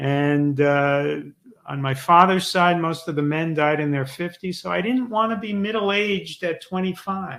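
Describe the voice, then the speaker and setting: With an unremarkable speaking voice and ordinary pitch variation, a man talks at a fairly slow pace. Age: 60s. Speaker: author and former sitcom writer. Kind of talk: interview.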